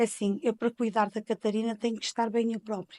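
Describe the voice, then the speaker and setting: Recorded very cleanly against a silent background, a woman talks at a moderate pace in a plain, everyday voice of medium pitch. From Portugal, Penafiel area (north). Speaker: informal caregiver, mother. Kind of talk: interview, personal testimony.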